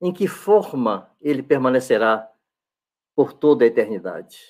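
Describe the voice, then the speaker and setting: Lively intonation carries this man's fairly high-pitched voice. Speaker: pastor, Bible teacher. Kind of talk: sermon.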